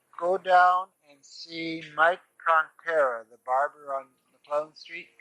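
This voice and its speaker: With an American accent and a bright, sharp tone, a man speaks at a very slow pace with fairly even intonation and big swings in loudness, the sound dry and close with no echo. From Seattle, Rainier Valley. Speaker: bakery owner. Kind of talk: oral history interview. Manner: halting.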